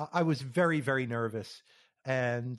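An unremarkable speaking voice with an American accent, ordinary pitch variation, and a fairly slow pace. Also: man. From US, New York area. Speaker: software engineer. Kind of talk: interview.

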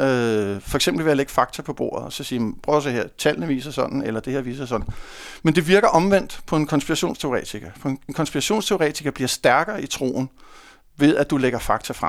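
A man at a fairly quick pace on a very clean recording with a silent background. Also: fairly high pitch for a man, lively intonation. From North Zealand, Denmark (Hundested). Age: 50s. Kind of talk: casual interview. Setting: studio. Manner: hesitant, many fillers.

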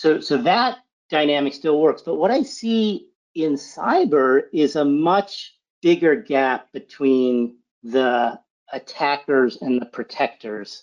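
A man's fairly high voice, lively in intonation, at a very slow pace. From Massachusetts, near Boston. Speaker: cybersecurity executive. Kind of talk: interview.

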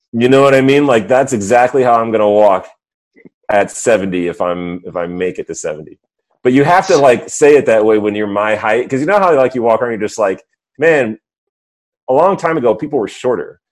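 Using a normal speaking voice, the speaker moves at a fairly quick pace with lively intonation. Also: man, medium pitch for a man. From suburbs of New York City. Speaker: podcast co-host. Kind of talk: casual chat.

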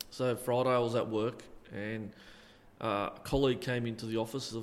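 A man speaks at medium pitch with fairly even intonation. Audible room echo surrounds his voice. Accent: Australian. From Australia, Illawarra region (NSW). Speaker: retired football referee. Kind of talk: interview. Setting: community hall.

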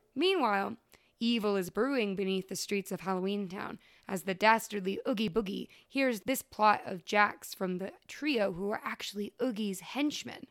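A woman at a medium pitch and moderate pace, ordinary pitch variation, in a very clean recording with a silent background. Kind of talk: casual chat. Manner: animated.

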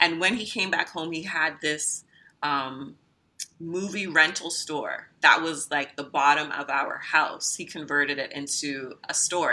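With a Canadian accent, a woman speaks in a plain, everyday voice, fairly low in pitch, with ordinary pitch variation. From Trinidad, raised in Canada from age eight. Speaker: entrepreneur. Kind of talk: interview.

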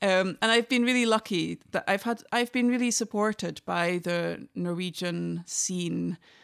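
This woman speaks at a fairly slow pace with hardly any pauses, at a medium pitch with ordinary variation, in a Scottish Highland accent. The sound is dry and close with no echo, on a very clean recording with a silent background. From northern Scotland, Inverness. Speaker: traditional fiddler. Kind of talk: casual interview conversation.

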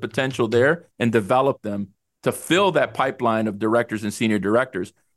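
Against a quiet background, a man speaks at a moderate pace with a Spanish accent. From El Salvador. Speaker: HR executive. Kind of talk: interview.

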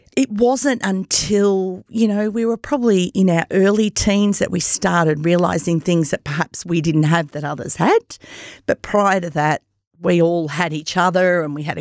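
The sound is dry and close, with no echo, and the speaker has an Australian accent. Pitch varies in an ordinary way at a fairly slow pace. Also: woman. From Australia, Myrtleford, Victoria. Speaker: podcast host appearing as guest. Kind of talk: personal testimony interview.

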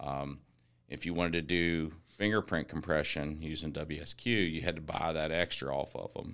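In an American accent, a man with a very deep, low pitch speaks at a moderate pace with fairly even intonation. The recording is very clean, with a silent background. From West Virginia (Eastern Panhandle). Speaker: software company co-founder. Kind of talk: casual interview chat.

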